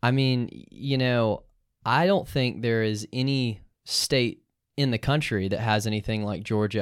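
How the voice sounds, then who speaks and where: At a moderate pace, a man speaks in a normal speaking voice at medium pitch with ordinary pitch variation, in a very clean recording with a silent background. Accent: American. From US South. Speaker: law student. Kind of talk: casual interview.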